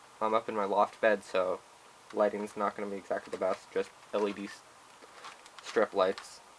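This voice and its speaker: Long, frequent pauses break up the speech, with noticeable background noise behind it. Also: man, moderate pace. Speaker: puzzle hobbyist youtuber. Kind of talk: tutorial. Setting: bedroom loft bed. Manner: halting.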